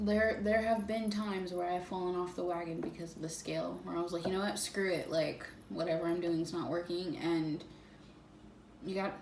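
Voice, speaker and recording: A woman with a fairly low pitch and fairly even intonation at a fairly quick pace, with audible room echo and noticeable background noise. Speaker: fitness vlogger. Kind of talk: casual vlog monologue. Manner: hesitant, many fillers.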